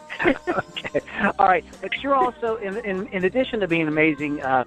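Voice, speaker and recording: A man's voice at a moderate pace, with music in the background. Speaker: podcast host. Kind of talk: interview questions. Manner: upbeat.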